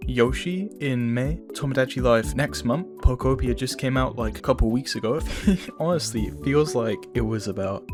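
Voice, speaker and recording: Over music in the background, the speaker moves at a moderate pace with very wide pitch swings. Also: man. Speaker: gaming commentary youtuber. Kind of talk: casual talk to camera. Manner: casual, stammering.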